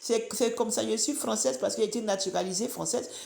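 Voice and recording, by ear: Speaking at a fairly quick pace, a woman with an Ivorian accent has a fairly high pitch and vocal fry. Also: ordinary pitch variation.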